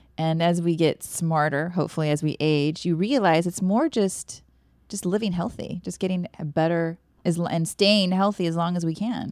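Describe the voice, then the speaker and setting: On a very clean recording with a silent background, a woman uses a normal speaking voice with a fairly low pitch, ordinary pitch variation and a moderate pace. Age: 40s. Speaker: fitness coach and co-host. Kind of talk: casual chat.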